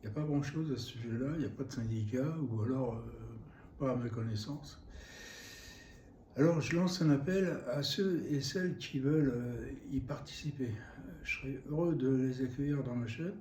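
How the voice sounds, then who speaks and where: A man speaks with a fairly high pitch, a dark, mellow tone and a somewhat breathy quality. His pitch varies in an ordinary way, with long, frequent pauses and audible room echo. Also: moderate pace. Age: 70s. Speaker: YouTuber, temp worker and cabinetmaker. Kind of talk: vlog monologue. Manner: hesitant, many fillers.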